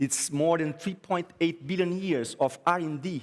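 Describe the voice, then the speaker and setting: A man with a Brazilian Portuguese accent, fairly high in pitch with ordinary pitch variation, at a moderate pace in a very clean recording with a silent background. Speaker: graphic designer. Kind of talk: conference talk. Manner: halting.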